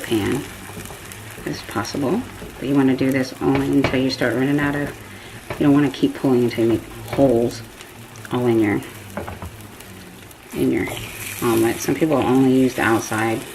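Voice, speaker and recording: Someone with an American accent speaks at a fairly quick pace but leaves long, frequent pauses, with audible room echo and noticeable background noise. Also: woman. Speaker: home cooking vlogger. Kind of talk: cooking tutorial. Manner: casual, chatty.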